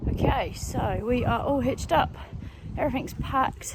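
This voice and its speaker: A woman speaks over noticeable background noise. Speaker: equestrian vlogger. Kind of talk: vlog narration.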